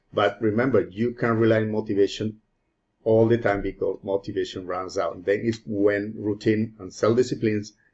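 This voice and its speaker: A man's fairly low-pitched voice. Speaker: self-improvement YouTuber. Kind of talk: motivational talk to camera. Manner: halting, self-correcting.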